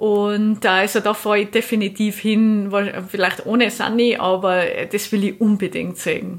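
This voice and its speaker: A woman speaks at a moderate pace and a medium pitch in a monotone, flat way with very even loudness. The recording is very clean, with a silent background. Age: 30s. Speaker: moped traveller. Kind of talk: interview.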